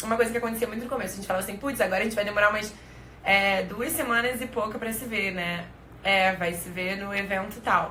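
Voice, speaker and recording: Over noticeable background noise and audible room echo, a woman talks at a very fast pace with a medium pitch and fairly even intonation. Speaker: live stream co-host. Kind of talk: casual chat. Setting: live stream.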